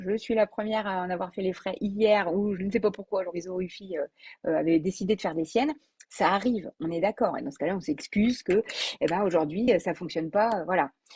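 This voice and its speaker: A somewhat breathy voice speaks at a fairly quick pace. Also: woman, dry, close sound with no echo. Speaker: business coach. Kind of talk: live video talk. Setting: Facebook live video. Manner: fast; spontaneous, with hesitations.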